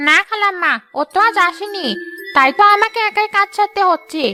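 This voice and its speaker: A woman performs a cartoonish character voice at an extremely high pitch and moderate pace, with faint music in the background. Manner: sneering, flattering to superiors.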